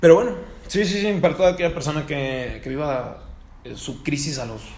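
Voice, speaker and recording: Over noticeable background noise and audible room echo, a man speaks with a Mexican accent. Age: 20s. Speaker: podcast host. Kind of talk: casual chat.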